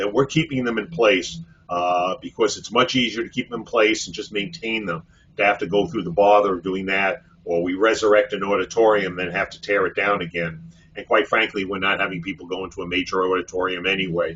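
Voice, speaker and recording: With a New York accent, this speaker moves at a fairly quick pace and shows ordinary pitch variation. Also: man, fairly low pitch for a man. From Brooklyn, New York City. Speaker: physician and hospital executive. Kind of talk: webinar presentation. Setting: online webinar. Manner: many fillers, uh.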